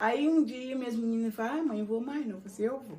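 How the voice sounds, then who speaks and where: Her tone is dark and mellow. The woman's pitch is fairly high, with ordinary pitch variation. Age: 60s. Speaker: congado dancer, elder of the quilombo. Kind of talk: documentary interview, personal storytelling. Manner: conversational, with some halting restarts.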